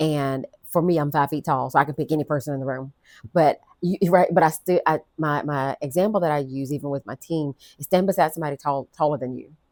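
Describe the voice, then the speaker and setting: A woman with a very deep, low pitch talks at a very fast pace with fairly even intonation. The sound is dry and close, with no echo. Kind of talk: interview.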